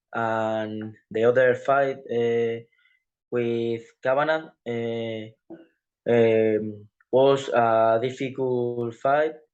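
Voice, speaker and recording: A man speaks at a very slow pace and a medium pitch. His intonation is monotone and flat. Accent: Spanish. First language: Spanish. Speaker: professional MMA fighter. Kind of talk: interview. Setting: video call. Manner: halting, many hesitations.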